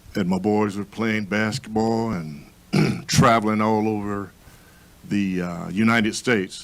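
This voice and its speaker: Over noticeable background noise, a man with a fairly low voice speaks at a fairly slow pace with ordinary pitch variation. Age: 60s. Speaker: panel discussion participant. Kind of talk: panel discussion.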